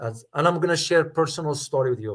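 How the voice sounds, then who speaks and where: Somewhat breathy, a man's fairly high-pitched voice shows ordinary pitch variation. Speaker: geopolitics commentator and professor. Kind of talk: live stream analysis and Q&A. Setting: live stream. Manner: firm.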